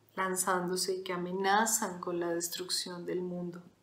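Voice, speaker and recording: Audible room echo surrounds a woman speaking at a medium pitch. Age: 40s. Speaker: podcast host. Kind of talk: solo reflective monologue.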